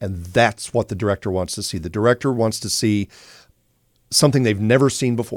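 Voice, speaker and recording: An unremarkable speaking voice moves at a fairly quick pace with ordinary pitch variation, in a very clean recording with a silent background and a dry, close sound with no echo. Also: man, fairly low pitch for a man. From US Midwest (Joplin, Missouri). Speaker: retired naval officer turned actor and TV co-host. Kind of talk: casual interview. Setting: studio.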